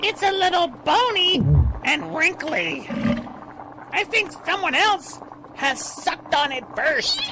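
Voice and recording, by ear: An extremely high-pitched cartoonish character voice moves at a fairly slow pace with long, frequent pauses over clear background noise.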